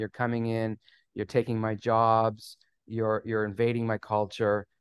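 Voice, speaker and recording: A man with a slight Canadian accent at medium pitch, in a dry, close sound with no echo over a quiet background. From Canada. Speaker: immigration attorney. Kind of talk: casual interview.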